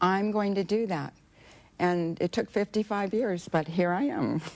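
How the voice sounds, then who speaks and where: A woman with an American accent, an unremarkable speaking voice, a fairly slow pace and ordinary pitch variation, on a very clean recording with a silent background. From United States. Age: 60s. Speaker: aid volunteer. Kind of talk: TV interview.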